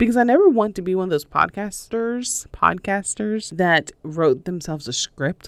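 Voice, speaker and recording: A woman speaks with an American accent and lively intonation. Her moderate pace comes through on a very clean recording with a silent background. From US South, North Carolina. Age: 30s. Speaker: podcast host. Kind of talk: casual solo podcast talk. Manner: many fillers like um, uh, and so; audible deep breaths, huffing on mic.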